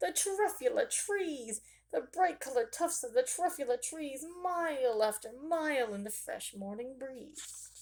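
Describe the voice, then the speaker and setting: In a put-on character voice, a woman talks at a moderate pace with hardly any pauses, her high, nasal pitch making very wide swings and her loudness rising and falling in big swings. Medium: read story.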